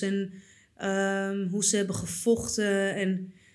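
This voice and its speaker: A woman at medium pitch and a fairly slow pace, with audible room echo. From Netherlands, Purmerend. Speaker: artist. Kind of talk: casual chat.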